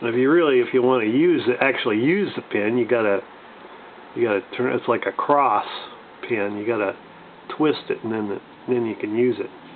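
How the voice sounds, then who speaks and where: A man speaks at a fairly quick pace and a medium pitch with ordinary variation. He leaves long, frequent pauses amid noticeable background noise. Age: 60s. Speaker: gun and gear video reviewer. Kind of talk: casual show-and-tell review. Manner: halting, many fillers.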